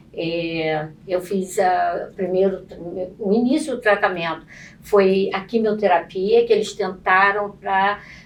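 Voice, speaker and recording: Very slowly, a woman speaks at a medium pitch. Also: ordinary pitch variation. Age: 60s. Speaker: breast cancer survivor. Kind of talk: testimony. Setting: studio. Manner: halting.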